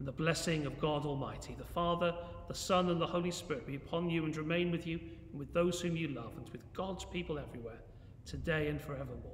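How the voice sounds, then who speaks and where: A man speaks at a very fast pace with fairly even intonation, light background noise and audible room echo around him. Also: fairly high pitch for a man. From England. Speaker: church minister. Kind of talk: fervent intercessory prayer, earnest and devout, with solemn petitions. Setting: church, recorded video. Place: church. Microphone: phone near.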